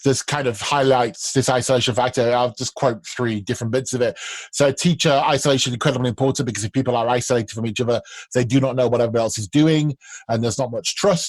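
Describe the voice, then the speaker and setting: Words come out at a very fast pace, the intonation fairly even throughout. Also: man, medium pitch for a man. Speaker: podcast host for language teachers. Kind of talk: casual chat.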